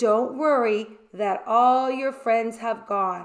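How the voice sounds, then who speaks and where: Against a quiet background, a woman uses a put-on character voice with a fairly high pitch and a very slow pace. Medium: read story. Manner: earnest, anxious.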